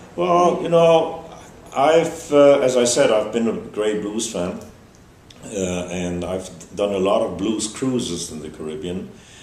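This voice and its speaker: Amid noticeable background noise and audible room echo, a man with a German accent talks at a fairly slow pace in a fairly low pitch, with very wide pitch swings and big swings in loudness. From Germany. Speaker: festival organizer. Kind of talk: interview. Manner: halting, many fillers.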